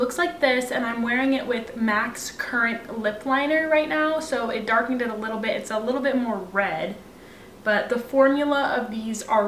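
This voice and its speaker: At a moderate pace with ordinary pitch variation, the voice comes through noticeable background noise. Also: woman. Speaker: beauty vlogger. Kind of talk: casual talk to camera.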